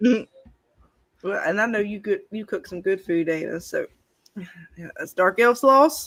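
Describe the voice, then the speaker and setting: Her pitch fairly high and her intonation lively, a woman with a Southern accent speaks at a fairly slow pace, with long, frequent pauses and big swings in loudness. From Alabama. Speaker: live stream host. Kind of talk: casual chat.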